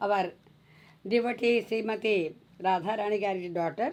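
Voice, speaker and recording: A woman with a Telugu accent talks at a moderate pace in a dark, mellow tone. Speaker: spiritual teacher. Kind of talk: religious discourse.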